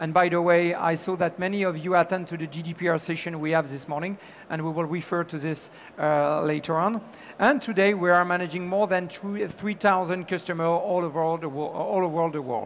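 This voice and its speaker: Talking fairly quickly, a man with a strong French accent keeps a high pitch and fairly even intonation. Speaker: business executive. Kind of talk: conference talk. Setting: stage with audience. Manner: halting, many fillers.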